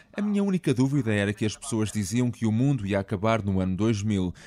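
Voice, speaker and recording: The recording is very clean with a silent background, and a man speaks at a fairly quick pace. His voice is fairly low with a dark, mellow tone and ordinary pitch variation. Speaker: podcast host and narrator. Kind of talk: scripted narration.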